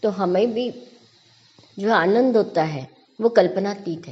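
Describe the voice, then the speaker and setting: A woman speaks at medium pitch. Noticeable background noise can be heard. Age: 60s. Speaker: spiritual verse explainer. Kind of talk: devotional commentary talk.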